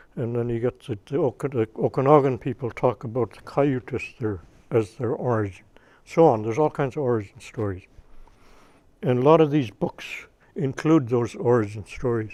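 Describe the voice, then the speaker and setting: A man talks at a moderate pace in a dark, mellow tone at medium pitch. His pitch varies an ordinary amount, and his loudness swings widely. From Kitselas, northern British Columbia. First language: Tsimshian language. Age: old. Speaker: First Nations elder and community leader. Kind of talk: informal talk to audience. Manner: halting, with frequent restarts.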